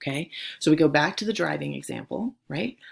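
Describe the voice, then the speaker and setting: Her delivery is animated, and this woman keeps a moderate pace. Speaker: high school theology teacher. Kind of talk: recorded lecture for students.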